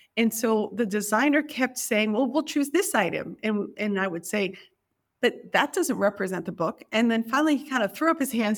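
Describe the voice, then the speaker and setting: Speaking at a moderate pace in an ordinary speaking voice, a woman with an American accent and a fairly high pitch uses lively intonation on a very clean recording with a silent background. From US, New York City. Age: 50s. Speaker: library curator and author. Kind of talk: interview.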